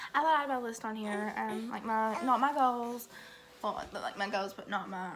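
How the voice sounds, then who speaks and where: A woman with a fairly high voice talks at a moderate pace with lively intonation, and the room echo is audible. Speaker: vlogger. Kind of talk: casual vlog talk. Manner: halting, many fillers.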